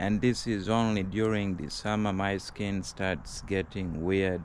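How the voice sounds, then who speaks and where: Audible room echo surrounds a man's voice. He speaks at a very slow pace with fairly even intonation. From foreign country, not US. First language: not English. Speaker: vlogger. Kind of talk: casual vlog monologue. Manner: hesitant, many fillers.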